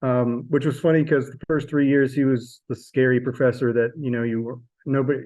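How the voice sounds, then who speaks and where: A dark, mellow tone, mumbled at a fairly quick pace with monotone, flat intonation. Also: man. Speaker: sculpture professor. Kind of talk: interview. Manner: mumbling; halting.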